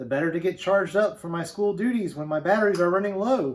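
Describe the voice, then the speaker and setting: A man growls in a put-on character voice at a high pitch. He races along at a very fast pace. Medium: read story. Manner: menacing.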